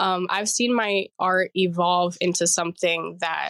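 A woman at a medium pitch talks at a fairly slow pace in a monotone, flat way, the sound dry and close with no echo. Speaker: artist. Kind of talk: casual interview. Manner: halting with fillers.

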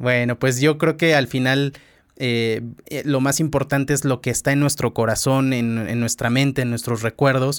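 Recorded very cleanly with a silent background, a man with a medium-pitched voice talks at a moderate pace in a monotone, flat intonation. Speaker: podcast host, former radio host. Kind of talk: casual interview conversation.

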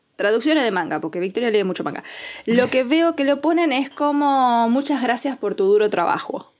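A woman's high voice with very wide swings in pitch. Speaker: podcast co-host. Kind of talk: casual chat.

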